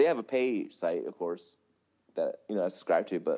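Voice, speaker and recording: A man talks at a moderate pace in a normal speaking voice. His intonation is lively. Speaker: podcast co-host. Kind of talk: casual chat. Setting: video call.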